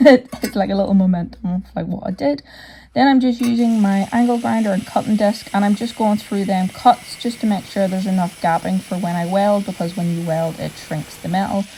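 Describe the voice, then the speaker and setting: Someone with a Northern Irish accent speaks at a moderate pace. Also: woman. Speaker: hobby metal fabricator. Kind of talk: workshop voiceover narration. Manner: casual, conversational.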